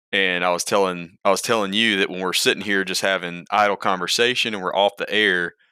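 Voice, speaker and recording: A man with a very deep, low pitch and a bright, sharp tone speaks at a fairly quick pace in a monotone, flat delivery with hardly any pauses, on a very clean recording with a silent background. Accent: Alabama. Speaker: wildlife ecology professor. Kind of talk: casual chat.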